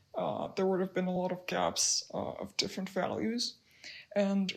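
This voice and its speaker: With a monotone, flat intonation, a woman speaks at medium pitch and a moderate pace. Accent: non-native. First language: not English. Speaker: digital illustrator. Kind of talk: narrated art process commentary. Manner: hesitant, many fillers. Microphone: poor recording quality in first three minutes.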